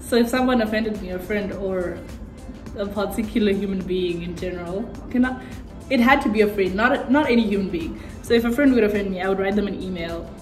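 A woman at a fairly quick pace with ordinary pitch variation, audible room echo and faint music in the background. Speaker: vlogger. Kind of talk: casual vlog chat. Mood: cheerful, laughing. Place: home room. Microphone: phone near.

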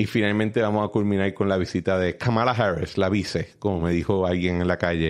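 This man has a very deep, low pitch and fairly even intonation, with very even loudness. He talks at a fairly quick pace with hardly any pauses. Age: 30s. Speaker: political podcast host. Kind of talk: casual political discussion.

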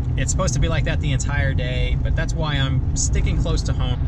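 Loud background noise sits behind a man talking at a fairly quick pace, his voice dry with no echo. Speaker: fishing vlogger. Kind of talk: casual vlog chat. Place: car. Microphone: phone near.

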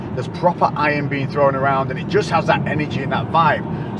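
A man speaks at a moderate pace over loud background noise. The sound itself is dry, with no echo. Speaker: fitness vlogger. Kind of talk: casual vlog chat. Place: car.

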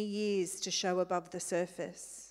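A woman with an Australian accent speaks at a fairly slow pace. The background is quiet. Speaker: church leader; speaker. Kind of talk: prayer and exhortation. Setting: church. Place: hall.

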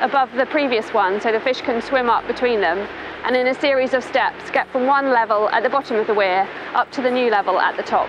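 A woman speaks fairly quickly at a high pitch with ordinary pitch variation and very even loudness. Music plays in the background, and the sound is dry with no echo. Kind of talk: explainer to camera. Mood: friendly, informative. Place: waterside.

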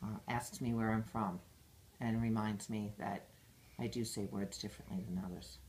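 Speaking at a moderate pace, a woman uses a very deep, low pitch with ordinary variation and vocal fry. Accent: American. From Massachusetts, Brockton near Boston. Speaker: school director and teacher. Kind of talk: interview answers. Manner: hesitant with fillers.

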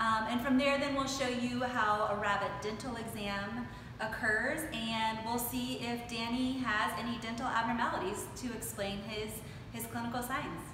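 A woman at a moderate pace with fairly even intonation, amid noticeable background noise and audible room echo. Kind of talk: explanatory talk to camera. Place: workshop.

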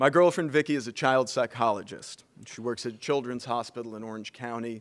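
An American-accented man's voice of medium pitch, with fairly even intonation and a quiet background. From Bloomington, Indiana. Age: 20s. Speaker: chemist, honoree's son. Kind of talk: toast speech. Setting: stage with audience. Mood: warm, lightly humorous. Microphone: podium.

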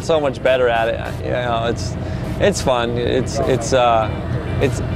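Ordinary pitch variation over clear background music, with a dry sound and no echo. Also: man. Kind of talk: interview answer. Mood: relaxed, upbeat, laughs. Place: open country.

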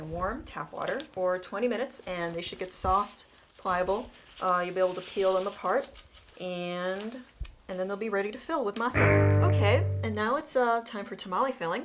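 The speech moves at a moderate pace. Loud music plays in the background. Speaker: cooking show co-host. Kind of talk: tutorial. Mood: playful, jokey. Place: kitchen.

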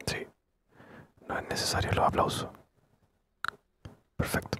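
A man whispers at a fairly slow pace. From Chile. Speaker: ASMR gaming creator. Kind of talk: ASMR gameplay commentary. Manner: whispered, soft-spoken. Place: home room.

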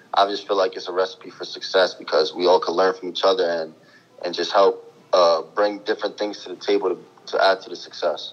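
In a New York accent, the speaker goes at a fairly quick pace with big swings in loudness. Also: man. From New York City (East Harlem). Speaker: college basketball player. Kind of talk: interview.

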